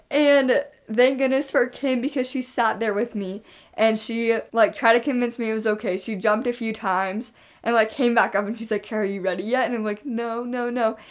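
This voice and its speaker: Against a silent background in a very clean recording, a woman with an ordinary speaking voice and a fairly high pitch talks at a fairly quick pace with fairly even intonation. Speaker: podcast co-host. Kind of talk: casual chat.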